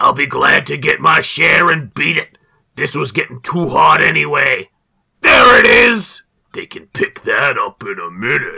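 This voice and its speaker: Here a man speaks in a raised, projected voice. His pace is moderate. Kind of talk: comic-book dramatic reading. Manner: ruthless, shouting, frantic.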